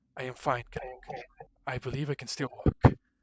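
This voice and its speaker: A man puts on a character voice at a medium pitch. He keeps a moderate pace and a flat, monotone intonation. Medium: actual play.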